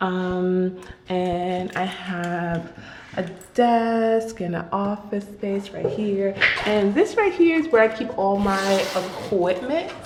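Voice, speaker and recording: A soft-spoken woman talks at a very slow pace and medium pitch with ordinary pitch variation, amid audible room echo and noticeable background noise. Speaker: artist and vlogger. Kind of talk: casual vlog. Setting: new office studio. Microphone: echo in the room.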